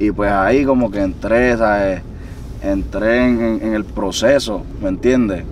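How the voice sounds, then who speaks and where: Over noticeable background noise, a man talks at a very slow pace, the sound dry with no echo. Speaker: guest. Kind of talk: interview answer. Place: car. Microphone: camera far.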